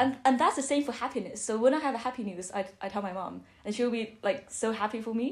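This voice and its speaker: A woman speaks with a Chinese accent in a fairly high pitch. Her pace is very fast. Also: ordinary pitch variation, hardly any pauses. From Beijing, China. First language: Mandarin Chinese. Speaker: architecture student. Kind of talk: podcast interview answer.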